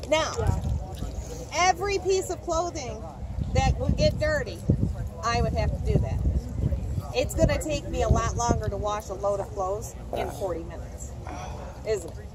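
Long, frequent pauses break up speech at a moderate pace, heard over loud background noise in a dry sound with no echo. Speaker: costumed history reenactor. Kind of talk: lecture. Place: open country.

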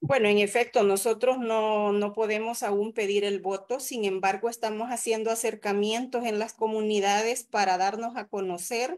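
Against a quiet background, a woman speaks at a fairly slow pace. Her voice is fairly high, with fairly even intonation. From El Salvador. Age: 40s. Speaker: physician and mayoral candidate; candidate. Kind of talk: interview. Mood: earnest, critical political talk. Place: home room. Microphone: video call.

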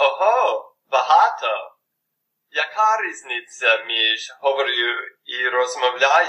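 A man talks very slowly, leaving long pauses again and again. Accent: English. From United States. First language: English (speaking Ukrainian). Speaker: language learner. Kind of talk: scripted dialogue.

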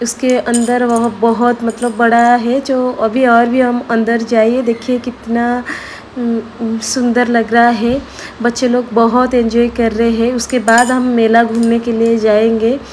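Over light background noise, a woman speaks at a very slow pace in a monotone, flat intonation. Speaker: family vlogger. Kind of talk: casual vlog chat. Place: hall. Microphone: phone near.

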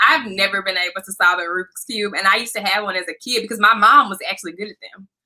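Someone with an American accent speaks at a very fast pace over a quiet background. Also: woman. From US South, Memphis, Tennessee. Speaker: employment attorney. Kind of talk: interview. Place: home room.

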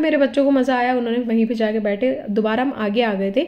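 A woman's high voice, slightly mellow, with ordinary pitch variation and a fairly quick pace

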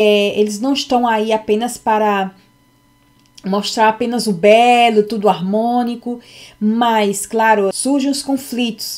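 A woman speaks very slowly, the background quiet. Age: 40s. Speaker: psychology content creator. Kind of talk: unscripted personal talk to camera; personal lecture-style talk. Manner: halting, many fillers. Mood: reflective, personal. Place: home room. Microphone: webcam.

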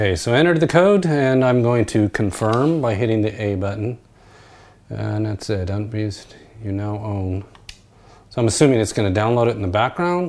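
Moderate pace and lively intonation in an unremarkable speaking voice. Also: man, fairly low pitch for a man. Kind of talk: casual tutorial narration. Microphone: phone near.

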